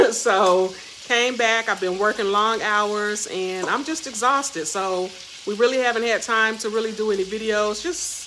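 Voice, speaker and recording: Noticeable background noise accompanies a woman speaking at a moderate pace with ordinary pitch variation. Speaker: vlogger. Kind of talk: casual vlog chat. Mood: cheerful, relaxed. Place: kitchen. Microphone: phone near.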